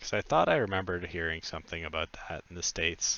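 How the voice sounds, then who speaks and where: A man with a Canadian accent speaks in a very deep, low pitch, his intonation monotone and flat. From Canada. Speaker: video game streamer. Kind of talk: casual live stream chat.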